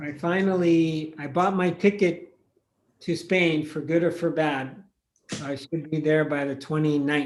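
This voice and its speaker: A man with a normal speaking voice talks fairly slowly at a fairly high pitch, his intonation fairly even. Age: 60s. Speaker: meditation teacher. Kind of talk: casual chat; guided meditation. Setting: video call.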